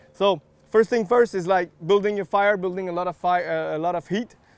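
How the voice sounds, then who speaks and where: In a dry, close sound with no echo, a man with a slight French Canadian accent speaks at a high pitch and a moderate pace. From Quebec. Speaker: barbecue accessory maker. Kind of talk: cooking demonstration. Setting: outdoors.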